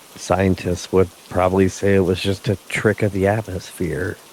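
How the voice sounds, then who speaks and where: The voice is soft-spoken, with monotone, flat intonation. Noticeable background noise runs underneath. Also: man. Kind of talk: sleep story. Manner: slow, soft-spoken.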